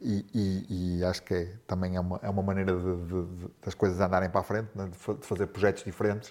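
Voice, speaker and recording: A man's very deep, low voice, monotone and flat, at a fairly quick pace. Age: 50s. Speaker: podcast host. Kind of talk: casual interview. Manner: halting, many repetitions.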